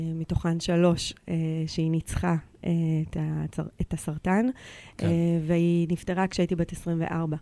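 At a moderate pace with long, frequent pauses, a woman speaks in a dark, mellow tone at a fairly low pitch with fairly even intonation, in a very clean recording with a silent background. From Israel, Eilat. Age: 40s. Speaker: insolvency lawyer and women's rights activist. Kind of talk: radio interview.

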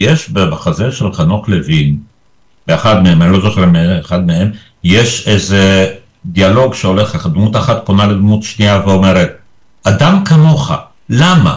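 A man's fairly low, somewhat breathy voice at a fairly slow pace, with lively intonation, very even loudness and long, frequent pauses. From Israel. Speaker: retired theater critic. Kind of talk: interview.

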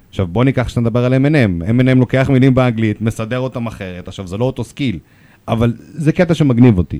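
A man's dark, mellow voice sits at a medium pitch with ordinary pitch variation. He talks very fast on a very clean recording with a silent background. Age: 40s. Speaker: rapper and lawyer. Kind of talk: radio interview.

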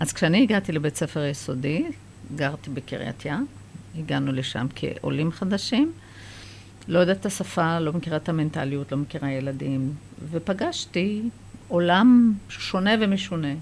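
Amid noticeable background noise, a woman with a very deep, low pitch and lively intonation speaks with long, frequent pauses. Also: fairly slow pace. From Israel, Kiryat Yam, Haifa area; Iranian immigrant family. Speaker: children's book author. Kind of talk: interview; reading aloud.

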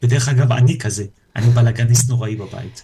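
A dark, mellow tone, somewhat breathy. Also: man. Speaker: entrepreneur and personal coach. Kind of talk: casual chat. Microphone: too quiet at first.

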